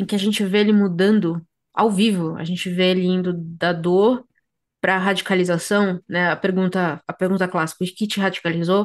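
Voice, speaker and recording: A woman speaks at a moderate pace in a flat, monotone way against a quiet background. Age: 30s. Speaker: podcast host. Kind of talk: casual chat. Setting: video recording. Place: home room. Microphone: earbuds.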